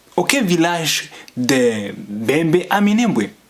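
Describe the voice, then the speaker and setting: A man's voice swings very widely in pitch against noticeable background noise. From Tanzania refugee camps, Banyamulenge (Congolese) community. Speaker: community activist vlogger. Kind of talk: political monologue. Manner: halting, with hesitations.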